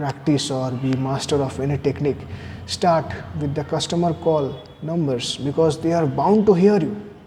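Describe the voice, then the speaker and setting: A fairly high-pitched male voice at a moderate pace, with ordinary pitch variation and noticeable background noise. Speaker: person who stammers sharing speech therapy tips. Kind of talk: personal video talk. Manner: hesitant, with fillers and repeated words.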